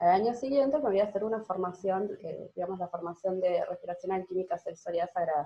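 A woman's medium-pitched, somewhat breathy voice at a very fast clip, with ordinary pitch variation and hardly any pauses. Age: 30s. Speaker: breathing therapy teacher. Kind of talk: interview.

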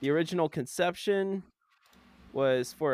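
A man talks in an unremarkable speaking voice with an American accent. His pace is fairly slow, and his pitch varies in an ordinary way. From Florida. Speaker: podcast co-host. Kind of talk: reading aloud; casual chat.

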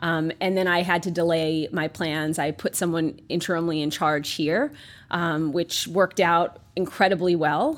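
A woman with a New York accent talks at a fairly slow pace in a fairly low pitch with fairly even intonation, on a very clean recording with a silent background. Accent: New York American. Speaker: pharmaceutical company executive. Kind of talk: interview conversation. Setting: office.

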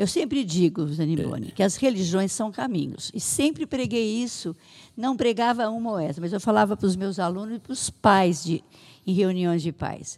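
With an unremarkable speaking voice, a woman talks at a moderate pace, her medium pitch carried by lively intonation. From Brazil, São Paulo state (Santa Adélia). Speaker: municipal social assistance secretary. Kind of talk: interview.

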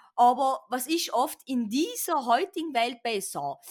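A woman speaks at a fairly slow pace in a South Tyrolean accent. Her pitch is high. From South Tyrol, Bolzano. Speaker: podcast guest. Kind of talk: casual chat.

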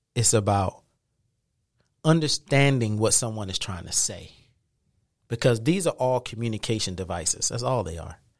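On a very clean recording with a silent background, a man with an American accent talks in an animated tone at a medium pitch, with lively intonation, big swings in loudness, and long, frequent pauses. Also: moderate pace. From South Carolina. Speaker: media literacy educator and film producer. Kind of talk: interview conversation.

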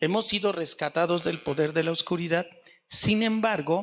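Fairly slow and high-pitched, a man speaks with ordinary pitch variation. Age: 60s. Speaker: pastor. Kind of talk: sermon.

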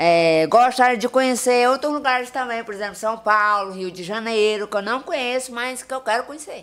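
A woman with a normal speaking voice and fairly high pitch, moderate pace, hardly any pauses, ordinary pitch variation and big swings in loudness, on a very clean recording with a silent background. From Maranhão, Brazil (Tuntum). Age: 30s. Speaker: social media personality. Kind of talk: casual interview chat; religious exhortation.

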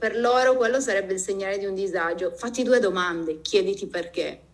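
Over noticeable background noise, a woman's voice carries audible room echo. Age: 40s. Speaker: podcast host. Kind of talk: casual chat.

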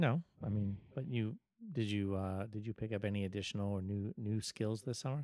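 Recorded dry and close with no echo, a man with a fairly low pitch and a dark, mellow tone speaks at a fairly quick pace. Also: ordinary pitch variation. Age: 40s. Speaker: podcast host. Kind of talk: casual chat.

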